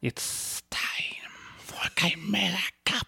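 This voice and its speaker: A raspy, put-on character voice sits at a middle pitch. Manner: hissing, slithery.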